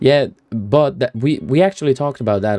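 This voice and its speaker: Lively intonation runs through a man's dark, mellow tone. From Finland (Swedish-speaking). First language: Swedish. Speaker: streamer. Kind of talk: casual live stream chat. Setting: home PC, live stream.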